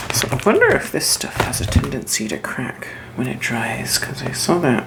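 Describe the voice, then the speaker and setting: Over noticeable background noise, the speaker keeps a relaxed tone at a moderate pace. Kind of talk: soft-spoken crafting ASMR narration to camera. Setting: home crafting video, close mic. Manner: soft-spoken, relaxed, casual.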